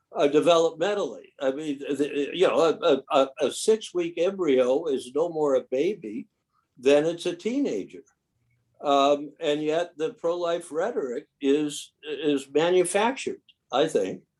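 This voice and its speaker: Lively in intonation, a man with a high-pitched voice talks at a fairly slow pace. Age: 70s. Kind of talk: casual chat.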